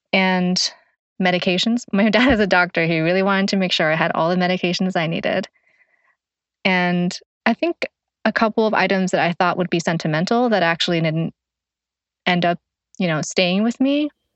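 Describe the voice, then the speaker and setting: A speaker with a Thai accent talks at a fairly quick pace, with long, frequent pauses. Loudness stays very even, and the pitch varies in an ordinary way. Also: woman, medium pitch for a woman. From Thailand, Chiang Mai. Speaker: newspaper community editor. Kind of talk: casual personal conversation.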